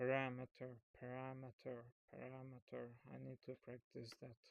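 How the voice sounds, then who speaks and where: Dry and close with no echo, a man talks at a moderate pace and medium pitch in a monotone, flat delivery. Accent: Hungarian. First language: Hungarian. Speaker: programming YouTuber. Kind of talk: tutorial. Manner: halting; casual.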